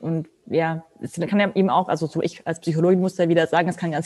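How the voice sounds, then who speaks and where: The voice has a dark, mellow tone and fairly even intonation, at a moderate pace. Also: woman. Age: 30s. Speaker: model agency founder, photographer and psychologist. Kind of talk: podcast interview.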